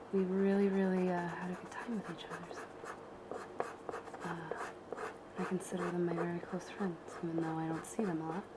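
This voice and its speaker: A woman with an American accent uses a relaxed tone and monotone, flat intonation over noticeable background noise. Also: fairly low pitch for a woman, moderate pace. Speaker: ASMR and travel content creator. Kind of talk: casual talk to camera, ASMR craft tutorial. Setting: home living room recording. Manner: soft-spoken, relaxed, chatty.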